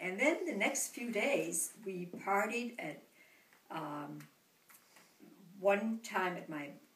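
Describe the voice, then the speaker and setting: Noticeable background noise and audible room echo surround a woman with a medium pitch. She speaks at a very slow pace with lively intonation. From Denmark, Copenhagen. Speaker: grandmother interviewed by grandchild. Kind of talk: family interview, reminiscing.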